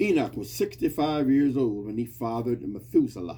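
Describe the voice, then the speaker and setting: A man talks at medium pitch and a moderate pace, in a dark, mellow tone with ordinary pitch variation. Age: 60s. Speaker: podcast host giving Bible talk. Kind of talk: informal Bible teaching monologue. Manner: repetitive, emphatic.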